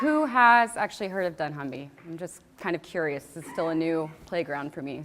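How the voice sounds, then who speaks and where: Speaking with a Texas accent, a woman moves through very wide pitch swings. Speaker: marketing executive. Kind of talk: conference talk.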